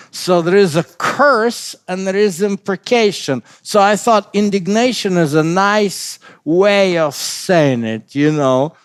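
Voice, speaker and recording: A man's high-pitched voice in a non-native accent, lively intonation, very slow pace and hardly any pauses. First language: not English. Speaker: pastor. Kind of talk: bible study discussion. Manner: halting, many fillers and restarts.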